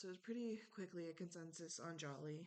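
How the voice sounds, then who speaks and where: A woman speaks quietly at a fairly low pitch. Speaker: online reality game contestant. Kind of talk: speech to jury, casual monologue. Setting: home, recorded at night. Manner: hesitant, many ums; quiet, late at night.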